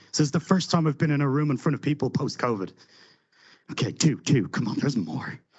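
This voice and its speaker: Speech comes at a very fast pace with vocal fry. Pitch variation is ordinary. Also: man, fairly high pitch for a man. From Ireland. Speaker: conference speaker, software delivery lead. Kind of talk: conference talk. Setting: stage with audience. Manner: animated.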